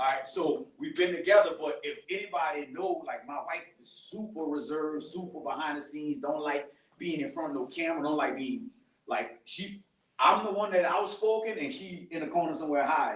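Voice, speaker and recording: A man talks loudly at a fairly quick pace, his high-pitched voice carrying lively intonation. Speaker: podcaster and ministry speaker. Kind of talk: testimony talk to a church youth group. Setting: live event with audience, recorded. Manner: casual, conversational. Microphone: speaking without a microphone.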